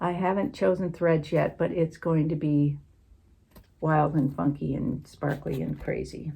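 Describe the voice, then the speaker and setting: At a fairly slow pace, a woman speaks in a very deep, low pitch with a dark, mellow tone and vocal fry. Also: ordinary pitch variation. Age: 60s. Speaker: cross-stitch vlogger. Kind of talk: casual chat. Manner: halting.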